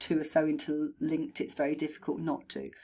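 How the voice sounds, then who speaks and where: Very wide pitch swings mark this woman's voice. She talks at a moderate pace. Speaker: horse trainer and behaviourist. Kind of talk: recorded video feedback to a client. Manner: conversational with fillers. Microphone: new microphone.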